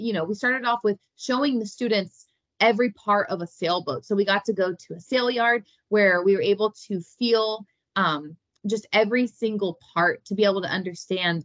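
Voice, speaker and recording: The sound is dry with no echo, and the background is quiet. A woman speaks at a moderate pace with ordinary pitch variation. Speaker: remote interview guest. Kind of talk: interview answer. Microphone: video call.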